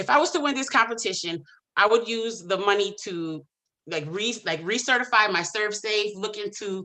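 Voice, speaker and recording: Against a quiet background, a woman speaks loudly at a medium pitch and a moderate pace. Her tone is bright and sharp, with lively intonation. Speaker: small business pitch contestant, event host and cook. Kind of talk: Q&A answer; business pitch. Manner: loud, boisterous; hesitant with many fillers.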